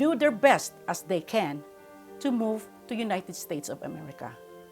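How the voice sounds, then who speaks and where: Music plays behind a woman of medium pitch. She speaks fairly slowly, her pitch swinging very widely. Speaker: interview show host. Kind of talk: show introduction.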